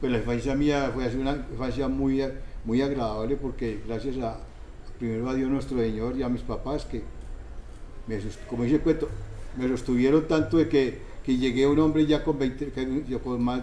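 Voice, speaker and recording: Speech at a moderate pace with fairly even intonation carries audible room echo. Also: man. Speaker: interviewee. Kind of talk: interview. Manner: halting.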